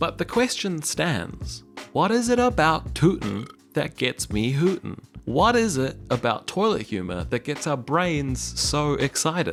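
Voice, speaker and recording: Music plays in the background while a man with a New Zealand accent talks at a fairly slow pace. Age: 20s. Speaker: YouTuber, video essayist. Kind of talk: comedic video essay narration.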